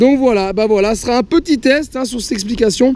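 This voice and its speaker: Talking at a fairly quick pace, a man uses ordinary pitch variation while noticeable background noise runs underneath. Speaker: moped vlogger. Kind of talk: casual vlog, test ride commentary. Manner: halting, stumbling over words.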